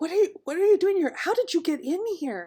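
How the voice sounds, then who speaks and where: A woman's squeaky, put-on character voice, extremely high-pitched, with lively intonation at a moderate pace. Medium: actual play. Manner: mild, polite.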